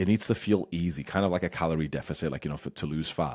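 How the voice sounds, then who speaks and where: A man's very deep, low voice with vocal fry, animated in tone and very fast, with ordinary pitch variation, on a very clean recording against a silent background. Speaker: YouTuber and business coach. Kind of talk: casual one-take talking-head advice. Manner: unscripted, off the cuff with stumbles; animated, ranting.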